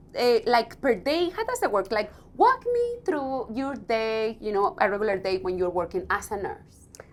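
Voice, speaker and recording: A woman speaks with a strong non-native accent. She keeps a moderate pace with hardly any pauses. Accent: thick non-native English. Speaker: radio host. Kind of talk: interview.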